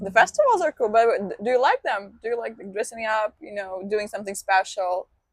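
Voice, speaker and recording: A woman with a Russian accent speaks fairly quickly in a fairly high voice, with big swings in loudness and ordinary pitch variation, the sound dry and close with no echo. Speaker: video blogger, interviewer. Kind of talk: casual interview.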